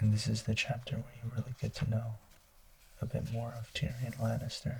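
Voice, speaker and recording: A man whispers in a soft-spoken way with vocal fry. He goes at a fairly quick pace. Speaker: ASMR creator. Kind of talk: book review, ASMR. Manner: soft-spoken, whispered.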